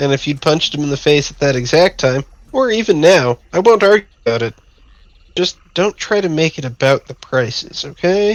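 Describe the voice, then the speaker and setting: A man puts on a gruff character voice, fairly high in pitch, with lively intonation at a moderate pace. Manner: gruff, warning.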